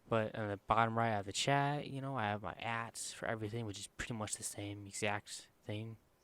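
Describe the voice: Quiet and clear with a smooth, fairly bright tone, a man at fairly low pitch speaks at a moderate pace with fairly even intonation.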